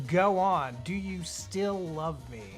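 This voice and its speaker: A voice speaks at a very slow pace over music playing in the background. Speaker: radio show host. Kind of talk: casual radio talk show banter.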